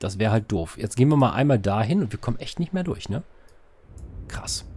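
A man talks at a fairly quick pace with fairly low pitch and big pitch swings. His slightly mellow tone has a slightly husky edge.

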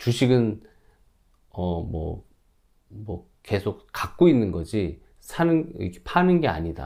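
Very slowly and with long, frequent pauses, a man speaks at a fairly low pitch. His dark, mellow tone moves through very wide pitch swings. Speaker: stock investing YouTuber, office worker. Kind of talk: casual vlog monologue.

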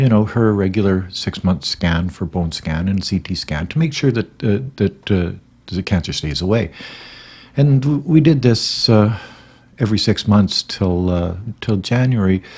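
A man with a plain, everyday voice speaks at a fairly slow pace with a fairly low pitch. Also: lively intonation. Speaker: grieving husband vlogger. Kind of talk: casual vlog chat, personal story. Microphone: studio mic.

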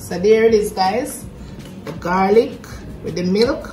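With clear music in the background, a woman speaks at a moderate pace. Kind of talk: cooking tutorial chat. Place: kitchen. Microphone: phone near.

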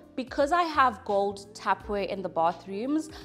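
Over faint music in the background, a woman speaks at a fairly slow pace. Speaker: home renovation vlogger. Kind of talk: casual vlog chat. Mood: warm, pleased. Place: home room.

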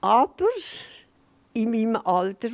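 A woman speaks at a very slow pace, her pitch swinging very widely. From Switzerland. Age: 80s+. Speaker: interview guest, grandmother. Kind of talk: interview answer, reminiscing. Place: studio. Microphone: handheld.

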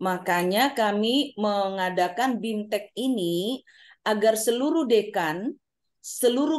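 A woman speaks very slowly at a fairly high pitch. Her pitch varies in an ordinary way against a quiet background. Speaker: university administrator. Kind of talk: presentation. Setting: video call. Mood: polite, formal. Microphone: video call.

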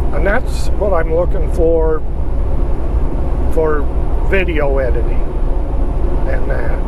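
Amid loud background noise, a man speaks at a very slow pace, the sound dry with no echo. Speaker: truck driver vlogger. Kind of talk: casual vlog chat. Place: car. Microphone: camera far.

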